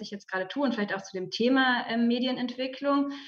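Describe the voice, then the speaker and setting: Her high voice racing at a very fast pace with fairly even intonation, a woman is heard through audible room echo and noticeable background noise. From Germany, Berlin. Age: 30s. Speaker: media development researcher. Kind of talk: talk to journalism students. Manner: many filler sounds and restarts.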